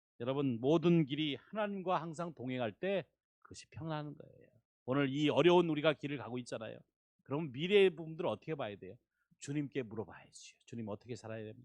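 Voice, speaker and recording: At a very fast pace, a man with a fairly high pitch speaks with lively intonation and big swings in loudness. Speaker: visiting pastor. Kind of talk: sermon. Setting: church.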